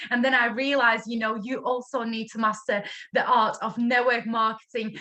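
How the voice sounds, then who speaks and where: With a Latvian accent, a woman speaks at a fairly high pitch. Her pace is moderate. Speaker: network marketing director. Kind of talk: online training talk.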